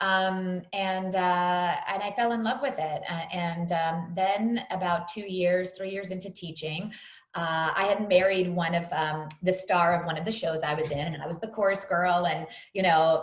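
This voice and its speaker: Recorded with noticeable background noise and audible room echo, a woman with an American accent speaks fairly slowly at a medium pitch with fairly even intonation. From US Northeast, New York City. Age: 40s. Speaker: fitness trainer. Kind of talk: podcast interview.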